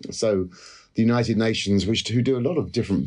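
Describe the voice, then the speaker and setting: With a British accent, a man speaks at a moderate pace against a quiet background. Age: 50s. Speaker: economics professor. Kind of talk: interview.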